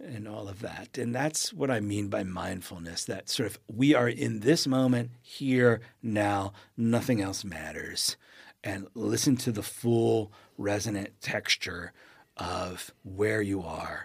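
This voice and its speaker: Here a man speaks very slowly at a fairly low pitch, with ordinary pitch variation and big swings in loudness. The recording is very clean, with a silent background. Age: 50s. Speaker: poet and writing teacher. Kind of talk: interview conversation. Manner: halting, many repeated words.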